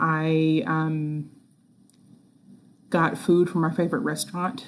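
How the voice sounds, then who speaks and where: A soft-spoken woman's voice, very deep and low, with ordinary pitch variation at a fairly slow pace. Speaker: school science teacher. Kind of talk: recorded announcement to students. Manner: soft-spoken, quiet; hesitant, many fillers.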